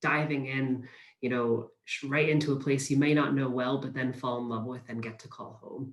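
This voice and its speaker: Somewhat breathy and fairly quick, a man talks at a medium pitch with fairly even intonation. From US, Pennsylvania. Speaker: university recruitment manager. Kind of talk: webinar presentation.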